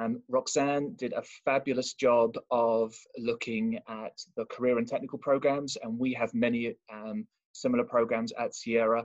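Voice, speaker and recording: Dry, close sound with no echo and a slight British accent. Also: man. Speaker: college admissions representative. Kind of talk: presentation. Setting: video call. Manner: fast.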